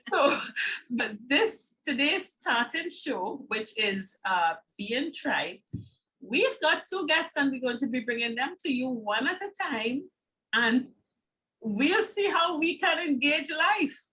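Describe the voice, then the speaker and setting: Using a raised, projected voice, a woman with a high pitch and a bright, sharp tone speaks at a very slow pace. Her pitch swings very widely. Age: 60s. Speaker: talk show co-host. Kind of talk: casual chat.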